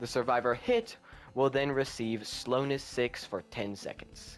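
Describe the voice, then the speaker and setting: A man's voice with music in the background. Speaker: gaming youtuber. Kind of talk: unscripted game concept explanation. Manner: halting, stuttering; casual.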